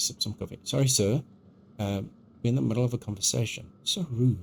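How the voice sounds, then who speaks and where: A man speaks at a fairly quick pace in a medium pitch, somewhat breathy. His pitch varies in an ordinary way. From South Africa. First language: Afrikaans. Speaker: video game streamer. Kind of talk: live gameplay stream chat. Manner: hesitant, many ums; animated.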